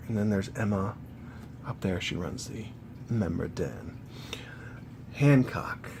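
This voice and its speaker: Noticeable background noise behind a man's fairly low voice at a very slow pace. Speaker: gaming YouTuber. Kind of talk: casual talk to camera, art book flip-through.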